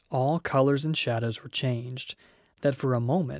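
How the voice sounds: The voice reads in a natural way. It is a natural reading voice.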